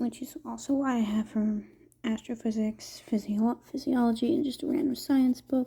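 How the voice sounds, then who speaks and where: The speaker is soft-spoken. The pace is moderate. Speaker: art content creator. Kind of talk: casual drawing commentary.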